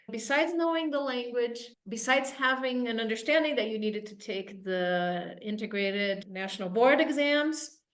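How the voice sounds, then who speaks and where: A woman talks at a moderate pace with lively intonation, fairly high pitch and hardly any pauses. Her loudness swings widely, and the room echo is audible. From Brazil. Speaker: admissions coach. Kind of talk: interview.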